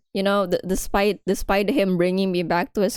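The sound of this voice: A reading voice, unforced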